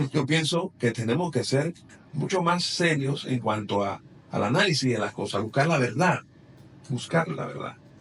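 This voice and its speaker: A man speaks in a plain, everyday voice, fairly high in pitch, with lively intonation at a moderate pace. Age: 60s. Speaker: politician. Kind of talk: interview.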